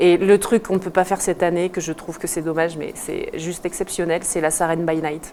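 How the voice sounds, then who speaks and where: A woman talks fairly quickly in a flat monotone, with noticeable background noise behind her. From southern France (Lozère/Nîmes), then Alpe d'Huez from age 7. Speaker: ski instructor. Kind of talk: casual interview on morning show.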